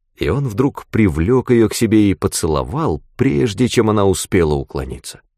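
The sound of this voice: The voice reads in an unforced way. Lively intonation runs through it.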